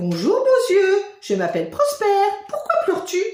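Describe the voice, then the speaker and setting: A woman's put-on character voice, extremely high in pitch, at a moderate pace with slight echo. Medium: read story.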